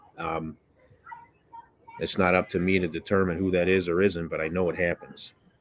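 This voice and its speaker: A man with an American accent and a very deep, low pitch speaks in a monotone with flat intonation, keeping a moderate pace broken by long, frequent pauses. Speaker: BBQ and cooking YouTuber. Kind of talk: casual livestream chat. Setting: outdoors on porch, livestream.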